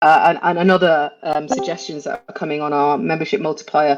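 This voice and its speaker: This woman has a British accent. Her pitch sits fairly low. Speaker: NFT project team member hosting community call. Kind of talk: casual community call, explaining. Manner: hesitant, many fillers.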